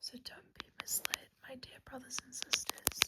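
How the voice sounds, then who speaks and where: Someone whispers at a fairly slow pace. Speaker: ASMR creator. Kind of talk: scripture reading. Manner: soft-spoken.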